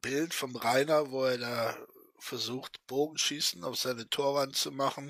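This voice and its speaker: He has an ordinary speaking voice at a medium pitch. The man's intonation stays fairly even and his pace fairly slow. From western Germany. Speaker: YouTuber commenting on clips. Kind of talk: casual commentary chat.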